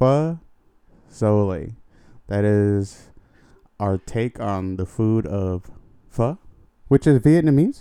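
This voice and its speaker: Speaking very slowly with long, frequent pauses, a man uses lively intonation in a dark, mellow tone. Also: fairly low pitch for a man. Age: 30s. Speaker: podcast co-host. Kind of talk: casual chat. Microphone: very close to the mic.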